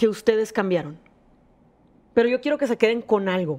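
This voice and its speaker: A woman speaks with lively intonation. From Monterrey, Nuevo León, Mexico. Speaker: singer and former reality show contestant. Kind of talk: casual chat.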